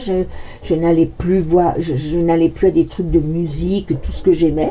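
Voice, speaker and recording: Noticeable background noise accompanies a woman talking fairly slowly. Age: 60s. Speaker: tarot card reader. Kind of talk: casual monologue with card reading. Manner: halting, stammering repetitions; animated.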